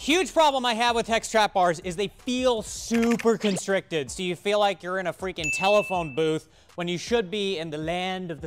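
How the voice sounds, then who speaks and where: Clear music plays behind a man who talks at a moderate speed. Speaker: equipment store reviewer. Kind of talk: product review commentary. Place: factory.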